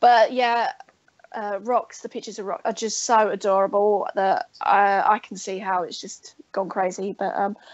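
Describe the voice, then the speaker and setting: A woman with an English accent, fairly even intonation and big swings in loudness. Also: medium pitch for a woman, moderate pace. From England. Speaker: guest artist and crafter. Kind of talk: casual chat.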